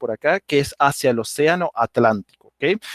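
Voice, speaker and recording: Speaking at a moderate pace, a man with a fairly high pitch and ordinary pitch variation is heard in a dry, close sound with no echo. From Venezuela, Andean region (Rubio, Táchira). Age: 30s. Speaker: language teacher. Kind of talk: online presentation. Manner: casual, with fillers.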